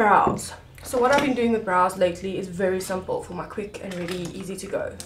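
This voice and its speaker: With music in the background and audible room echo, a woman speaks at a very fast pace, using a medium pitch and fairly even intonation. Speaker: makeup artist. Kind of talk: tutorial. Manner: casual.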